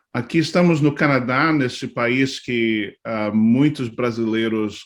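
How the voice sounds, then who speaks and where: Over a silent background in a very clean recording, a man talks at a fairly slow pace, medium in pitch with ordinary pitch variation. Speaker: pastor. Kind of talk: talk to church leaders. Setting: live video stream. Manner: halting, many fillers.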